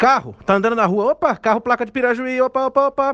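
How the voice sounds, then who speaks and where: A man speaks at a moderate pace with an extremely high pitch. The background is quiet, and the sound is dry and close with no echo. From interior of São Paulo state, Brazil. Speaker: writer. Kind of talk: storytelling.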